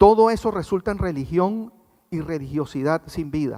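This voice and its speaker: A man's voice at a moderate pace, with lively intonation. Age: 60s. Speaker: guest pastor. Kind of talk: sermon. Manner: conversational, asks congregation questions.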